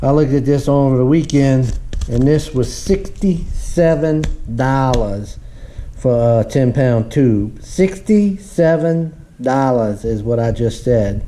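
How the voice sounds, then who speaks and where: A man with a Southern US accent, medium pitch and lively intonation, speaking at a very slow pace with audible room echo. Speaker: homesteading vlogger. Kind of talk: casual vlog. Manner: halting.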